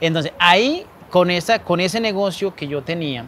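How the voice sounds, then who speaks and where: A man with a coastal Colombian accent speaks in a high voice at a moderate pace, with ordinary pitch variation. The sound is dry with no echo, over light background noise. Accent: Colombian coastal (costeño) Spanish. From Colombian Caribbean coast, Montería, Córdoba; Colombian Caribbean coast. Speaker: small business owner. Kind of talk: interview. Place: waterside. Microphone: lapel.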